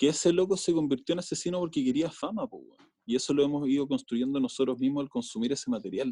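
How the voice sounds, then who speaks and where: The voice belongs to a man and has a dark, mellow tone. Its pitch varies in an ordinary way. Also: dry, close sound with no echo. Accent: Chilean. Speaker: filmmaker. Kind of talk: casual chat.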